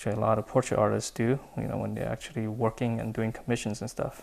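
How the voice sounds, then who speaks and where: Words come out at a very fast pace from this man. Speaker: drawing tutorial artist. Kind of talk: tutorial. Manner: halting, self-admitted stutter while drawing; casual, filler-heavy.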